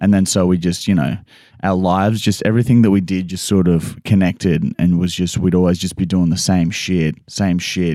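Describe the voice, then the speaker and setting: Recorded very cleanly against a silent background, a man with an Australian accent speaks in a very deep, dark and mellow voice. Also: fairly even intonation, moderate pace. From Queensland, Australia (Toowoomba). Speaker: comedian and prankster. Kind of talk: casual chat.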